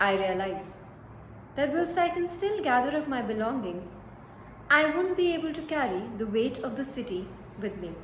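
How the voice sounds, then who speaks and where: With an Indian accent, the speaker takes a dramatic tone, with very wide pitch swings and long, frequent pauses. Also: woman, high pitch for a woman. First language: Hindi. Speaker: storyteller and narrator. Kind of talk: dramatic first-person narration of a short story, read as a paan-shop seller. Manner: reflective, brooding, measured pace; dramatic, wistful, slow deliberate delivery with pauses.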